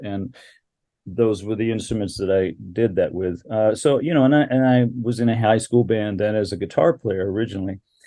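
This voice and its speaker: A man speaks at a medium pitch with a dark, mellow tone. The background is quiet. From Alaska. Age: 60s. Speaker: bassist. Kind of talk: interview.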